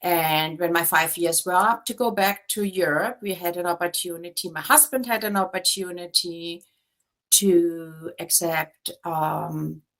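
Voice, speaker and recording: A woman's fairly low voice in a German accent, at a fairly slow pace with ordinary pitch variation. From Germany. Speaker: real estate agent. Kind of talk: interview.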